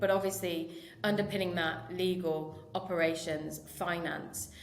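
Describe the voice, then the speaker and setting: A woman with a British accent speaks at a fairly low pitch with fairly even intonation, amid noticeable background noise and audible room echo. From United Kingdom. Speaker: marketing director. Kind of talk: podcast interview. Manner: hesitant, many fillers.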